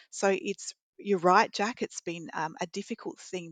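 A woman with an Australian accent at a moderate pace, fairly even in intonation, dry and close with no echo against a quiet background. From Wagga Wagga, New South Wales, Australia. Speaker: veterinary radiologist, committee chair. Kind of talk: interview.

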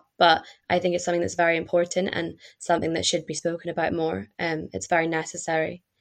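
A woman with a Scottish accent and fairly low pitch, against a quiet background. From Scotland. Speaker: student and pleasure activist.

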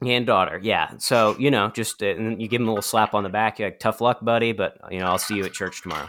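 In an American accent, a man with a fairly low pitch and fairly even intonation talks at a very fast pace with hardly any pauses. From US East Coast, Appalachia. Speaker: podcast host. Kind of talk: casual banter.

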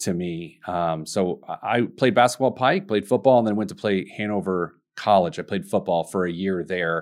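A man with an American accent speaks in an unremarkable speaking voice, fairly low in pitch, at a moderate pace with hardly any pauses, over a quiet background. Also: ordinary pitch variation. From US Midwest, Indianapolis, Indiana. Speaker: financial advisor and business owner. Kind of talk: interview.

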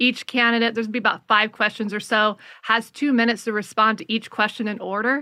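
Over a silent background in a very clean recording, a woman speaks at a fairly quick pace in a fairly high pitch, her tone bright and sharp, her intonation monotone and flat. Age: 40s. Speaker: elections activist and debate organizer. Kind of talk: interview.

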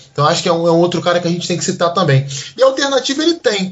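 This man speaks with a Rio de Janeiro accent. His pitch is high. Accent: Carioca Brazilian Portuguese. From Brazil, Niterói (Rio de Janeiro metro area). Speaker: football tactical analyst. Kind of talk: casual podcast discussion.

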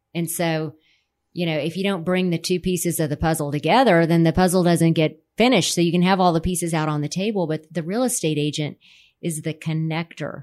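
In a plain, everyday voice, a woman with an American accent talks at a fairly quick pace, her fairly low pitch held to fairly even intonation, on a very clean recording with a silent background. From Texas, San Antonio (Alamo Heights). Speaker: real estate company president. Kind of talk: casual interview.

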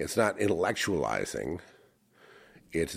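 A man is speaking. His pace is very slow. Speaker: Freemasonry and esoteric studies speaker. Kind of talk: casual chat. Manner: halting.

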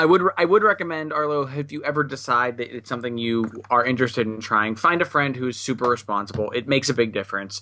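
Bright and sharp in tone, a man of medium pitch talks at a very fast pace. His intonation is lively. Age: 30s. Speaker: podcast co-host. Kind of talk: casual chat.

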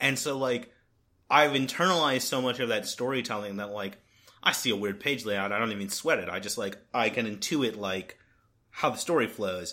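A man's bright, sharp tone at a moderate pace, with ordinary pitch variation. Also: medium pitch for a man, very clean recording, silent background. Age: 20s. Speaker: podcast host. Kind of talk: casual chat.

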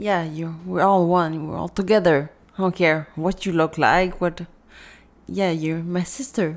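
Here is a plain, everyday voice, moving at a moderate pace with fairly even intonation. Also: woman. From Africa, raised in Canada from age ten. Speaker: author with multiple sclerosis. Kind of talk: interview.

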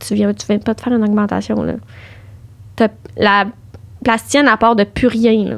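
A woman talks at a moderate pace with long, frequent pauses. Her loudness swings widely. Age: 20s. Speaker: cancer patient. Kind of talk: personal testimony in casual interview.

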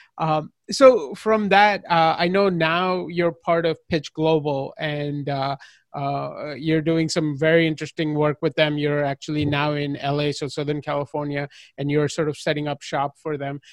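A man with a plain, everyday voice talks at a moderate pace, in a dry, close sound with no echo. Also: fairly high pitch for a man, fairly even intonation. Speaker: podcast interviewer. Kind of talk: casual interview.

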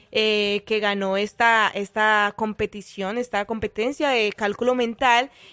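In a very clean recording with a silent background and a dry, close sound with no echo, a woman with a Colombian accent talks at a fairly slow pace with hardly any pauses, in a bright, sharp tone at a fairly high pitch with monotone, flat intonation. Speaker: radio co-host. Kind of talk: casual radio chat.

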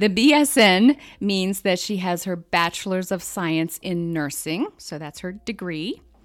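It is a normal speaking voice with an American accent and lively intonation, on a very clean recording with a silent background. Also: woman. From central Pennsylvania. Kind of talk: casual chat.

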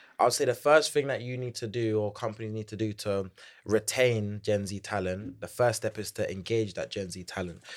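Speaking at a fairly quick pace in a London accent, a man with a fairly low pitch comes through on a very clean recording with a silent background. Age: 20s. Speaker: Gen Z corporate advisor and entrepreneur. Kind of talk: casual interview chat. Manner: energetic, animated.

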